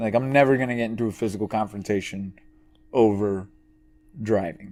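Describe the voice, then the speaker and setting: With an ordinary speaking voice, a man talks at a fairly low pitch and fairly even intonation. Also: fairly quick pace. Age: 20s. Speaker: podcast co-host. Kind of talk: casual chat.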